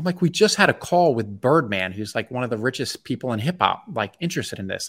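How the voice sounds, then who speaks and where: With a Mid-Atlantic US accent, a man talks at a fairly quick pace with hardly any pauses. His medium-pitched voice swings very widely in pitch, and the recording is very clean with a silent background. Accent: American Mid-Atlantic. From Maryland, US (Bethesda, DC area). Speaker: food entrepreneur. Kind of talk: interview.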